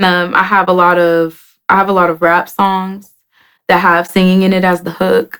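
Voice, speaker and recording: A woman talks in a normal speaking voice with an American accent. Her medium pitch, fairly even intonation and fairly slow pace stay consistent. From Oklahoma City, Oklahoma. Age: 20s. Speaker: rapper. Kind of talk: interview.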